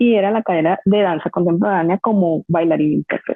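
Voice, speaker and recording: A woman with a fairly low pitch and fairly even intonation. She has an unremarkable speaking voice. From Colombia, Barranquilla (Caribbean coast). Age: 30s. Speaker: dance teacher and dancer. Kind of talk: podcast interview.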